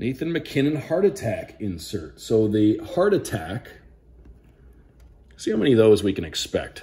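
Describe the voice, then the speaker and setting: A man's dark, mellow tone, somewhat breathy, at a fairly slow pace with very wide pitch swings. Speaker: radio play-by-play broadcaster. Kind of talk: casual talk to camera. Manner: upbeat, enthusiastic. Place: home room. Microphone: phone near.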